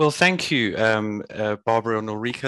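A man with a bright, sharp tone speaks at a moderate pace and medium pitch, in a dry, close sound with no echo. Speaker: webinar moderator. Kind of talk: webinar introduction and Q&A moderation.

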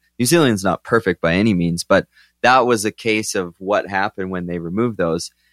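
With an ordinary speaking voice and ordinary pitch variation, the speech comes at a fairly quick pace in a dry, close sound with no echo, very clean against a silent background. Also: man, fairly low pitch for a man. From southern Alberta, Canada. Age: 30s. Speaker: bison manager. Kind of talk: casual interview. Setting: at host's house.

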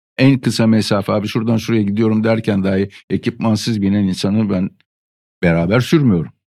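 Fairly low in pitch, this man's voice has a dark, mellow tone. He talks at a fairly quick pace in a very clean recording with a silent background. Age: 50s. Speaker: veteran motorcyclist. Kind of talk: casual chat. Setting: studio.

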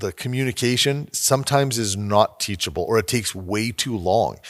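Recorded very cleanly against a silent background, the voice has a Canadian accent, ordinary pitch variation and a moderate pace. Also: man. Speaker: podcast host. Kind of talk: interview. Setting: studio. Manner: animated, laughs often.

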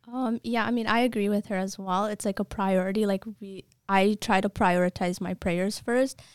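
In a very clean recording with a silent background and a dry, close sound with no echo, a woman uses a plain, everyday voice at medium pitch, moving at a moderate pace with hardly any pauses. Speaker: nursing student. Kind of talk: casual interview.

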